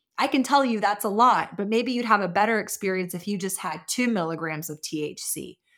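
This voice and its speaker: A woman with an American accent talks fairly quickly in a plain, everyday voice, medium in pitch and lively in intonation. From Austin, Texas. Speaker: cannabis business owner and advocate. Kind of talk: interview. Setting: remote call.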